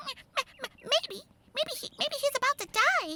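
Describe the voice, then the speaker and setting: A squeaky, put-on character voice with extremely high pitch at a moderate pace. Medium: read story. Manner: chirping.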